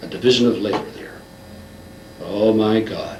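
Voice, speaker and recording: A man speaks with a fairly low pitch. There is audible room echo and noticeable background noise. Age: 60s. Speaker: lecturer on a social theory. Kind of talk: interview. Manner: animated.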